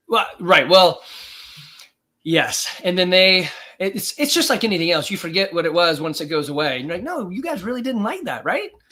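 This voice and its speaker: Raising and projecting his voice, a man speaks at a high pitch with lively intonation. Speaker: gym owner and fitness coach. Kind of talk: casual chat. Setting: live stream. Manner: fast.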